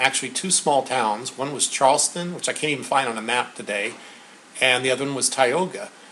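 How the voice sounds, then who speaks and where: A man speaks fairly quickly, and noticeable background noise can be heard. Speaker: interviewer. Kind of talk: casual talk to camera.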